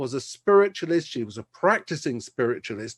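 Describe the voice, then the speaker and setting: A man in a London accent, his pitch swinging very widely, against a quiet background. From South London, England. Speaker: preacher giving his testimony. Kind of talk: testimony.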